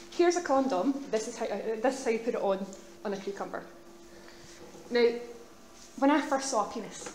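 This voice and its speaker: With a Glaswegian accent, the speaker talks at a fairly quick pace with lively intonation, breaking into long, frequent pauses. Audible room echo and noticeable background noise fill the recording. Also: woman, high pitch for a woman. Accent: Glaswegian Scottish. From Scotland, Glasgow. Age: 30s. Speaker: student union officer. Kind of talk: public speech. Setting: stage with audience. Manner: fast.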